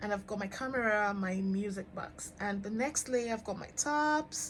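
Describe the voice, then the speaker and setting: A woman speaks at medium pitch and a moderate pace. Her voice is somewhat breathy, with ordinary pitch variation. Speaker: fashion influencer. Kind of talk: closet tour vlog. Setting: home closet room. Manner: hesitant fillers.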